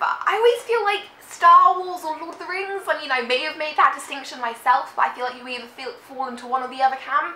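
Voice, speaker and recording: A woman talks at a very fast pace in a high pitch, raising and projecting her voice with hardly any pauses. Her pitch swings very widely and her loudness rises and falls sharply. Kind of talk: casual talk to camera.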